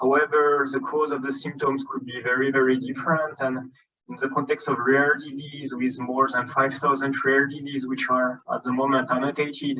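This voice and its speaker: Hardly pausing, a man with a French accent talks at a moderate pace in a fairly high, monotone, flat voice. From France. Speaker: genomics scientist. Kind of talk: conference lecture. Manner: hesitant, many filler ums.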